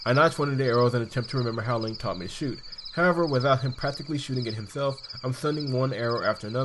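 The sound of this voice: The recording features an unforced reading voice.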